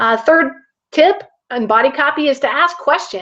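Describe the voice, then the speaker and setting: A woman speaks in a raised, projected voice at a high pitch. Her pitch swings very widely. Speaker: online marketing coach. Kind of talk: webinar tutorial.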